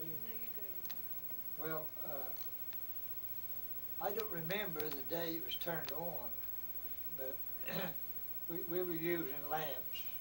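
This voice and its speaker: A man talks at a very slow pace with long, frequent pauses, his pitch fairly high and ordinary in variation. Noticeable background noise runs underneath. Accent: American. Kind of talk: interview answer.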